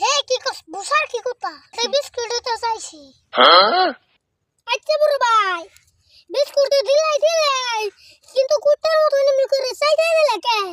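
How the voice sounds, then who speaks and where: Using a put-on character voice, a woman sounds squeaky and extremely high-pitched, with ordinary pitch variation, a moderate pace, and a dry, close sound with no echo. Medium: comedy sketch. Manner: whiny, coaxing.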